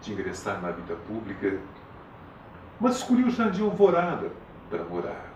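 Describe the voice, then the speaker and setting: A man at medium pitch talks at a moderate pace with very wide pitch swings, amid noticeable background noise and audible room echo. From Paraná, Brazil. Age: 70s. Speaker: retired politician and teacher. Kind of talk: interview. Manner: formal.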